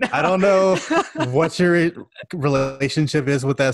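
In an American accent, a man with an unremarkable speaking voice talks at a fairly slow pace with fairly even intonation, recorded very cleanly over a silent background with a dry, close sound and no echo. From Houston, Texas. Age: 20s. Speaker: sports podcast co-host and writer. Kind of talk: casual chat.

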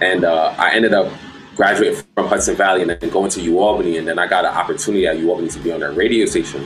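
Words come at a very fast pace against noticeable background noise. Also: man. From Brooklyn, New York. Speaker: DJ. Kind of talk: casual chat.

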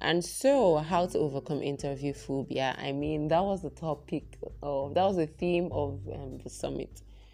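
A soft-spoken woman talks at a fairly slow pace with hardly any pauses. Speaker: solo podcast host. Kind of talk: solo podcast monologue. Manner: hesitant, many fillers.

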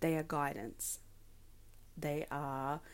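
A woman is talking. Her accent is Australian. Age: 20s. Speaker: podcaster and advocate. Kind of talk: solo podcast monologue.

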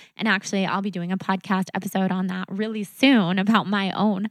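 On a very clean recording with a silent background, a woman at medium pitch speaks fairly quickly with fairly even intonation. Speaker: podcast host and blogger. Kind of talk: podcast intro monologue and interview.

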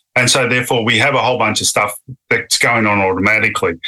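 Speaking at a very fast pace, a man with an Australian accent uses a fairly low voice and fairly even intonation. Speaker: neuroscientist. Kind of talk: interview.

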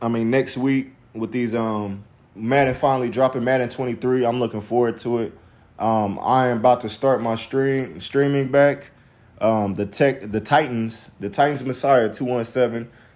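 A normal speaking voice from a man with an American accent, medium in pitch and fairly even in intonation. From US Midwest. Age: 30s. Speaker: podcast host. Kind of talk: casual chat. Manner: casual, filler-heavy.

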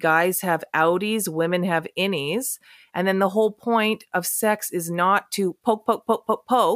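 An ordinary speaking voice at a moderate pace with ordinary pitch variation, recorded with a dry, close sound and no echo. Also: woman. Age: 30s. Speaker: sex educator. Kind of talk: casual chat.

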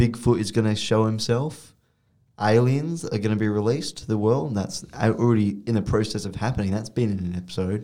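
Using an Australian accent, a man speaks at a fairly quick pace in a fairly low pitch, his dark, mellow tone showing ordinary pitch variation. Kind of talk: casual chat.

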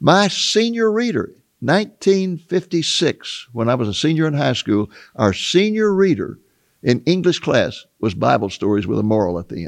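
Against a quiet background, a man with an American accent and a fairly high pitch swings his voice very widely. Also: moderate pace. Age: 80s. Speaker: author and Bible prophecy teacher. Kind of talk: interview discussion. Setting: studio.

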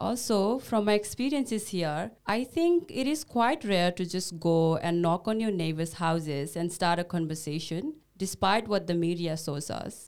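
A woman with a Nepali accent, fairly low-pitched, lively in intonation, at a moderate pace. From Bhutanese refugee camp in Nepal. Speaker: podcast co-host, social worker. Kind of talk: casual scripted conversation. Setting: studio.

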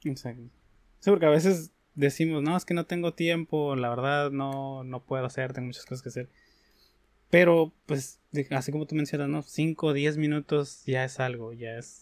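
On a very clean recording with a silent background, a man speaks at a moderate pace and a fairly high pitch with fairly even intonation. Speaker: podcast host. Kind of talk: interview. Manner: halting.

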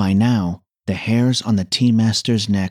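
In a very clean recording with a silent background, the voice has a calm tone and a dry, close sound with no echo. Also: man. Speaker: podcast host. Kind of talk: scripted narration; dramatic storytelling narration. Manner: animated, theatrical, voicing a snarling warrior; calm, measured.

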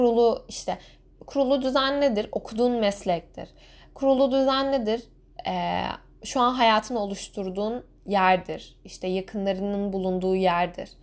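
A woman at a moderate pace with a fairly high pitch and ordinary pitch variation, on a very clean recording with a silent background. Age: 20s. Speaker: podcaster. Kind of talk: solo podcast monologue.

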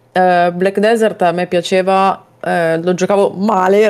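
A woman with an ordinary speaking voice talks at a fairly slow pace, her medium pitch carried by fairly even intonation. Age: 20s. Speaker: gaming podcast co-host. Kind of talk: casual chat.

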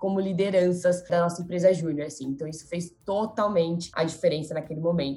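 A woman's somewhat breathy voice at medium pitch, the intonation fairly even. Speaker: marketing professional, former junior enterprise president. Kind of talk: podcast interview.

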